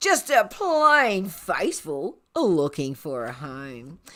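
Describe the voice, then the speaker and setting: A put-on character voice at a middle pitch moves at a very slow pace on a very clean recording with a silent background. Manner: theatrical, playful.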